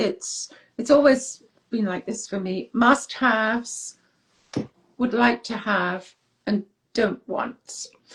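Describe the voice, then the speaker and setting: This somewhat breathy voice moves through ordinary pitch variation. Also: woman. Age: 60s. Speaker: author. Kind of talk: interview.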